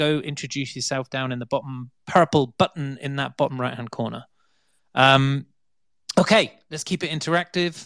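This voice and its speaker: A man with a plain, everyday voice speaks at a moderate pace with ordinary pitch variation, in a dry, close sound with no echo. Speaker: podcast host. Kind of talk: interview. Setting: online audio space.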